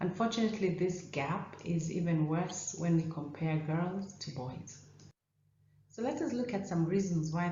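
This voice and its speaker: A woman's fairly low voice at a fairly slow pace, amid noticeable background noise and audible room echo. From Kenya. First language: not English; English is third of five languages. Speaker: ophthalmologist. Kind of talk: conference talk.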